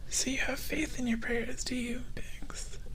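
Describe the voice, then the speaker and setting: Soft-spoken and very slow, a man talks over noticeable background noise. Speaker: VTuber. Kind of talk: ASMR story reading. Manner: soft-spoken, sleepy.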